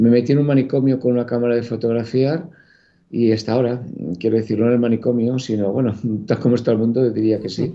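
A man talks at a very fast pace. His medium-pitched voice holds a fairly even intonation. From Catalonia, Spain. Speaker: photographer. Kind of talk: interview.

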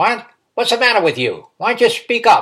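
A man's put-on character voice, growling at an extremely high pitch and a fairly quick pace. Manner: impatient, growling.

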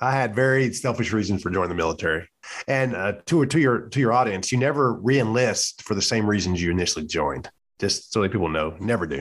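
On a very clean recording with a silent background, a man with a Louisiana accent talks at a very fast pace with lively intonation and fairly low pitch. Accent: Southern US (Louisiana). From US South, central Louisiana. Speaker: retired Navy chief, podcaster. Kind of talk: casual chat.

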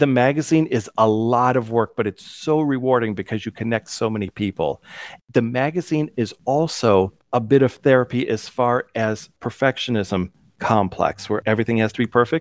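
With an American accent, a man speaks at a moderate pace and ordinary pitch variation, the sound dry and close with no echo on a very clean recording with a silent background. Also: medium pitch for a man. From US Midwest (Cleveland, Ohio). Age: 50s. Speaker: digital magazine creator. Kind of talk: interview. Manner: animated.

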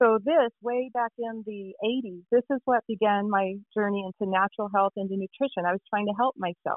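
A woman speaks at a moderate pace with hardly any pauses, her pitch medium and her intonation fairly even. It is an ordinary speaking voice. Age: 50s. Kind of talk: interview.

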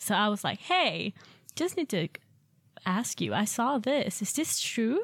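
Against a very clean, silent background, a woman with a Swedish accent speaks at a fairly slow pace with vocal fry, very wide pitch swings, very even loudness and long, frequent pauses. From Sweden. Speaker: au pair. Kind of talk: casual chat.

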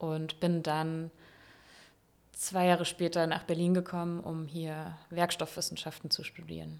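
A very clean recording with a silent background carries speech delivered at a fairly slow pace. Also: woman, fairly low pitch for a woman. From Palatinate, Germany. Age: 30s. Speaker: engineer and works council member. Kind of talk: interview. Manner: hesitant, many fillers.

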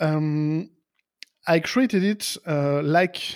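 With a French accent, a man talks in a high-pitched voice with ordinary pitch variation. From France, near Lyon. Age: 40s. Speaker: software developer and podcaster. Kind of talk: interview. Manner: halting.

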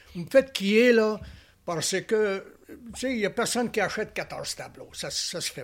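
A man speaks at a very slow pace. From Alberta, western Canada. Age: 80s+. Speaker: painter. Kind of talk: interview. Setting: artist's studio.

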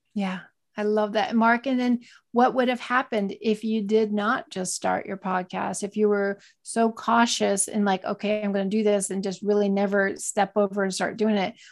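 An ordinary speaking voice talks at a moderate pace with fairly even intonation, in a very clean recording with a silent background. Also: woman, medium pitch for a woman. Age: 40s. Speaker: entrepreneur and online reseller. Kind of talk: interview.

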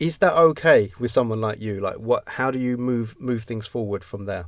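A man talks at a moderate pace. His is an unremarkable speaking voice. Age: 50s. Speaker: podcast host. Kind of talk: interview.

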